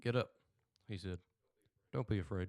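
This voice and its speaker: Dry and close with no echo, a man's voice moves at a moderate pace with ordinary pitch variation in a Southern US accent. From US South. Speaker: podcast host. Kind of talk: reading aloud. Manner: halting.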